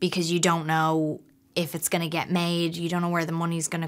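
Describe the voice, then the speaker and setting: Speaking very fast, a woman keeps her intonation monotone and flat. Her pitch is fairly low. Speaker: actress. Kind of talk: interview answer. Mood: reflective, lightly amused. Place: hall.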